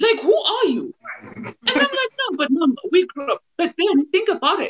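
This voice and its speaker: Speaking at a moderate pace with a Zimbabwean accent, the voice has a dry, close sound with no echo. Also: woman. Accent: Zimbabwean Ndebele English. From Zimbabwe, Bulawayo. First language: Ndebele. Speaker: actress and TV/radio presenter. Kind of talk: podcast interview. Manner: animated.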